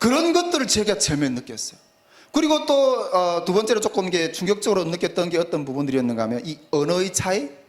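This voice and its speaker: At a very fast pace, a man speaks at a high pitch with very wide pitch swings. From North Korea. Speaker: preacher. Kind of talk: sermon. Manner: halting, many fillers.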